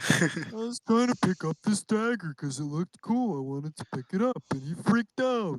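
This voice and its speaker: In a put-on character voice at a middle pitch, the speaker moves at a fairly quick pace with hardly any pauses. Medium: actual play.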